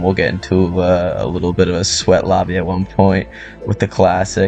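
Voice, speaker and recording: A man with a very deep, low pitch talks at a moderate speed while music plays in the background. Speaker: gamer. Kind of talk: casual gameplay commentary.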